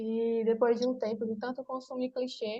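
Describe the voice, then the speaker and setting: A woman's somewhat breathy voice. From Brazil, Pernambuco (Exu). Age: 20s. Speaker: writer. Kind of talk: interview. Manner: halting, many fillers.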